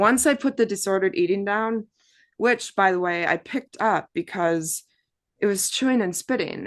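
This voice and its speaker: Here a woman with an American accent has an unremarkable speaking voice. She keeps a moderate pace with ordinary pitch variation over a quiet background. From Wisconsin, US Midwest. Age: 30s. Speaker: abuse survivor and artist. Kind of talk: testimony.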